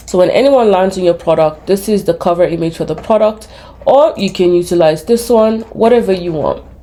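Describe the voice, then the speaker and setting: A woman at a fairly quick pace, with ordinary pitch variation and noticeable background noise. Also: medium pitch for a woman. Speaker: small business owner and YouTuber teaching online business. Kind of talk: screen-share tutorial. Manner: fast; casual, with frequent fillers.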